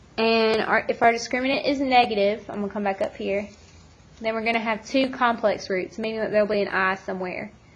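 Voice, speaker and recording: Someone speaks at a fairly quick pace with fairly even intonation while music plays in the background. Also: woman, fairly high pitch for a woman. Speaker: math teacher. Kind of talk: tutorial. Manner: fast.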